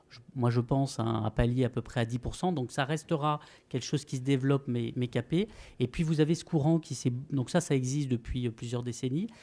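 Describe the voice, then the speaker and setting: Over a quiet background, a man speaks at a fairly quick pace in a medium pitch with a dark, mellow tone and ordinary pitch variation. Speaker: responsible investment analyst, panelist. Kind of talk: panel debate. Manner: hesitant, many fillers.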